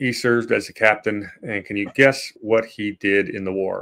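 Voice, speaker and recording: Speaking at a moderate pace, a man uses ordinary pitch variation. He has a plain, everyday voice. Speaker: history podcast host. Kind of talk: casual history discussion.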